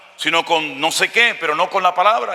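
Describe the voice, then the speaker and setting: Over noticeable background noise, a man with a high pitch projects a raised voice at a fairly quick pace. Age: 60s. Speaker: pastor. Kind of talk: sermon. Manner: animated.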